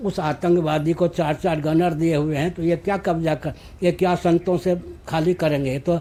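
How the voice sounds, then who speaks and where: A man speaks in a high voice. His intonation stays fairly even. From Bihar, India. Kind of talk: interview answer.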